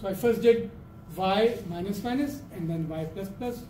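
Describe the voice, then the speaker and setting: High-pitched male speech with audible room echo and noticeable background noise. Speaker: programming lecturer. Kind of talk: lecture. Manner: halting.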